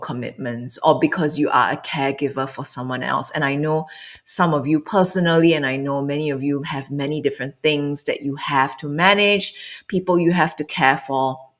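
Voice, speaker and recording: In a Singaporean accent, a woman speaks with a very deep, low pitch and fairly even intonation. Her tone is calm. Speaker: meditation and mindfulness coach. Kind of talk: guided meditation circle livestream, casual instruction. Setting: online livestream. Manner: calm, hesitant with fillers.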